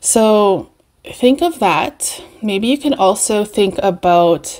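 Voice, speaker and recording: A woman speaks in a relaxed tone with a Canadian accent over a quiet background. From Canada, Winnipeg. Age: 40s. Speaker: beauty and perfume vlogger. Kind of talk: casual chat. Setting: home video recording. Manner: relaxed, rambling with fillers. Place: home room. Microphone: webcam.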